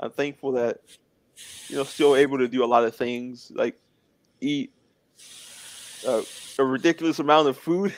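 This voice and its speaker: A man with a fairly high pitch talks at a moderate pace, leaving long, frequent pauses. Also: dry, close sound with no echo. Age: 20s. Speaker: interview guest with muscular dystrophy. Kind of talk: casual interview chat. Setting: live stream.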